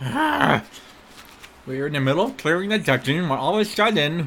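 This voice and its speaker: A man puts on a character voice while clear background noise plays behind him. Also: fairly high pitch for a man, moderate pace. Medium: actual play. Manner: exasperated, rambling.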